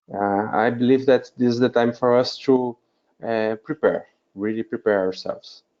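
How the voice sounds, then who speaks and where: A man with a Portuguese accent speaks at a moderate pace and medium pitch, keeping his intonation fairly even. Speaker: wedding officiant. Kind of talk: group video call discussion. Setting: video call webinar. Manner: halting, many fillers.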